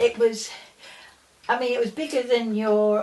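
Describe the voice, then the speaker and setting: With an English accent, a woman speaks over noticeable background noise. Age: 70s. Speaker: family elder recalling childhood. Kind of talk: casual interview. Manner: halting.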